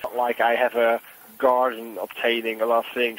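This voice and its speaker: Over noticeable background noise, a man speaks in a flat monotone. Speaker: boiler room share scammer. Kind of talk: sales phone call.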